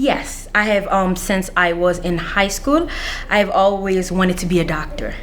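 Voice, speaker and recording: Over noticeable background noise and audible room echo, a woman speaks at a medium pitch and a fairly slow pace with ordinary pitch variation. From Washington DC (Anacostia), born Central African Republic. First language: not English (English is fifth language). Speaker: counselor, scholarship recipient. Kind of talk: interview. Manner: halting, many fillers.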